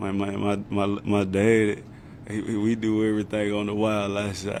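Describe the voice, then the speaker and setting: A man with a strong Southern US accent talks at a moderate pace and a fairly low pitch in a monotone, flat intonation, with audible room echo. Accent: strong Southern accent, much remarked on. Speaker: football player. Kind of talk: press conference. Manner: casual, repetitive filler words.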